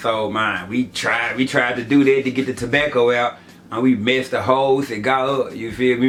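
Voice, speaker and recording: Over noticeable background noise, a man with an American accent talks at a fairly quick pace in a medium pitch with monotone, flat intonation. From US South, Memphis, Tennessee. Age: 30s. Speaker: YouTuber. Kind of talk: story time vlog. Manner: casual, filler-heavy.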